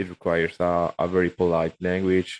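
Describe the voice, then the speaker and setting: In a dry, close sound with no echo, a man with a Spanish accent speaks at a moderate pace. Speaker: remote worker, podcast guest. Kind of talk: casual interview chat. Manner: halting, with many repetitions.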